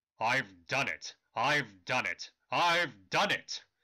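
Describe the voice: The speaker uses a raspy, put-on character voice at a very slow pace. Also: man, fairly high pitch for a man.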